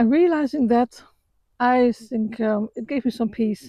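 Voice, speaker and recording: A woman with a non-native accent talks at a fairly high pitch, her tone dark and mellow, with ordinary pitch variation. The sound is dry and close with no echo, over a quiet background. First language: not English. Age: 60s. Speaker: vlogger. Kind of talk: walk-and-talk personal reflection. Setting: outdoors, walking after sunrise. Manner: halting, many fillers and repetitions; calm, reflective.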